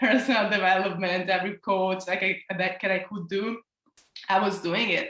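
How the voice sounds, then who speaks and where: A woman's bright, sharp tone in an Italian accent at a moderate pace. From Italy. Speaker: self-love coach. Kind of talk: interview.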